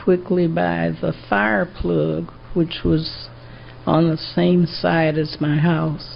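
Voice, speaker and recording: A woman talks at a very slow pace, with noticeable background noise and audible room echo around her. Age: 80s+. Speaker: trial witness. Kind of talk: court testimony. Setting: courtroom.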